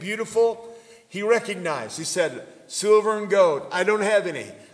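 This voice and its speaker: A man's high-pitched voice with noticeable background noise. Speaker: pastor. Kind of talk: sermon; fervent prayer, call to shout. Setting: church. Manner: fervent, impassioned; hesitant, filler-laden.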